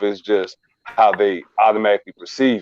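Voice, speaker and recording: A man talks at a moderate pace with a fairly low pitch. The sound is dry and close, with no echo. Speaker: podcast panelist. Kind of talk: casual chat.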